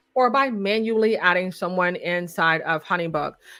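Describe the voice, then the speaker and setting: Against a quiet backdrop, the woman's tone comes across bright and sharp. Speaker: website designer and software consultant; software trainer. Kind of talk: live tutorial webinar. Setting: live stream. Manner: fast. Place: home room. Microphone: studio mic.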